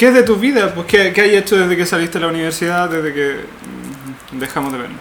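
A man's high, lively voice in a Chilean accent at a very fast pace, with audible room echo and noticeable background noise. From Chile, O'Higgins region (Rancagua area). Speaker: podcast co-host. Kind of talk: scripted narration; casual chat.

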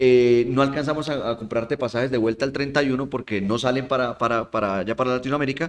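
At a fairly quick pace, a man with a fairly high pitch uses a plain, everyday voice. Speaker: podcast guest. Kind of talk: casual chat.

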